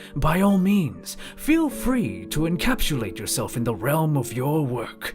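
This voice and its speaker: Over clear music in the background, a man does a put-on character voice with a fairly high pitch at a fairly slow pace. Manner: polite, formal.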